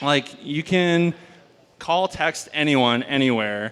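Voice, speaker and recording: Fairly slow pace and ordinary pitch variation from a man. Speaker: stand-up comedian. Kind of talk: stand-up comedy set. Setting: live venue with audience. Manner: low-key, understated.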